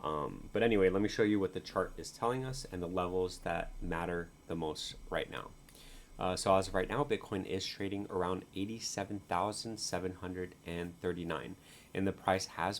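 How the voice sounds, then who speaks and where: Quietly and at a moderate pace, a man with a very deep, low pitch speaks with ordinary pitch variation. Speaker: crypto market analyst. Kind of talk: chart analysis video. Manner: quiet, low-voiced; halting, many fillers.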